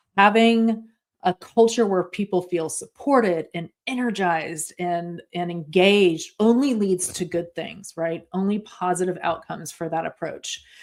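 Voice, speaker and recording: The speech moves at a fairly slow pace with hardly any pauses. Its pitch varies in an ordinary way. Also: woman, medium pitch for a woman. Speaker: organizational culture consultant. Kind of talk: webinar presentation. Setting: video call. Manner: slow and clear; halting with fillers.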